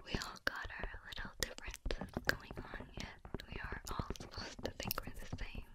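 Whispering at a moderate pace, the speaker is soft-spoken. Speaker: roleplay voice actor. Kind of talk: ASMR roleplay talk. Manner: soft thoughtful whisper.

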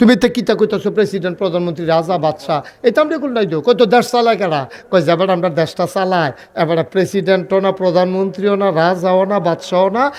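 There is noticeable background noise behind this man. His high-pitched voice has an animated tone and lively intonation. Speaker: Islamic preacher. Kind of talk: sermon.

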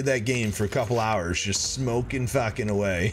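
A man is talking. Light background noise is present. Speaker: gamer on voice chat. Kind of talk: casual stream chat. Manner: casual. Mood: amused, relaxed.

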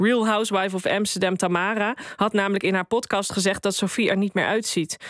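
Against a quiet background, a woman talks at a fairly quick pace and a medium pitch, the sound dry with no echo. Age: 40s. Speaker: columnist; radio columnist. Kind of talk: opinion column read aloud. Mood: wry, critical opinion. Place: studio. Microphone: studio mic.

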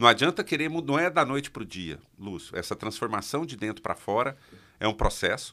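In a Minas Gerais accent, a man with a bright, sharp tone and medium pitch speaks at a moderate pace, his pitch swinging very widely against a quiet background. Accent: Minas Gerais accent, kept. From Minas Gerais, Brazil (interior). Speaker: public speaking coach. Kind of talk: interview. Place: studio. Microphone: studio mic.

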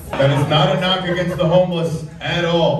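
A man talks at a moderate pace. Audible room echo and noticeable background noise surround his voice. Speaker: stand-up comedian. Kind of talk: stand-up comedy routine. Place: stage.

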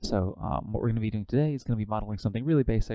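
A man talks with ordinary pitch variation in a dry sound with no echo and a quiet background. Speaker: workshop instructor. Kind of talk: tutorial. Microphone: video call.

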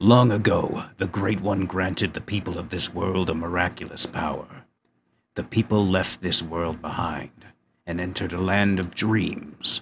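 At a moderate pace, a man puts on a character voice pitched very deep and low. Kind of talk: solemn legend telling. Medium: audio drama. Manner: reverent, yearning, bitter.

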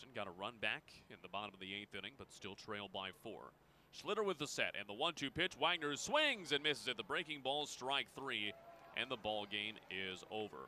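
In a normal speaking voice, a man of medium pitch talks at a moderate pace with lively intonation and big swings in loudness. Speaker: baseball radio announcer. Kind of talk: live baseball play-by-play commentary.

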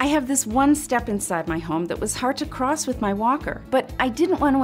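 Faint music plays in the background while a woman speaks at a moderate pace. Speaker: voice actor. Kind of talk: TV commercial read. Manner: confident, caring. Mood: warm, confident, earnest. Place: home room.

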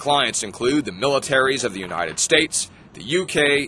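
A fairly high-pitched man at a moderate pace, with very wide pitch swings over noticeable background noise. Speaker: news anchor. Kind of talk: TV news report narration.

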